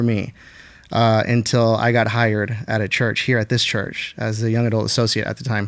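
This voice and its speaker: Speaking at a fairly quick pace, a man uses a normal speaking voice at a medium pitch. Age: 30s. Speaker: pastor. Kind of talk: casual chat.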